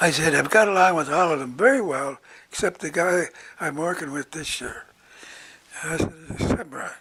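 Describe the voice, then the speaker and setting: Noticeable background noise sits behind a man talking at a moderate pace with ordinary pitch variation and long, frequent pauses. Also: fairly high pitch for a man. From Nova Scotia, Canada. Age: 80s+. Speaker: retired psychiatrist. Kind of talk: interview answer.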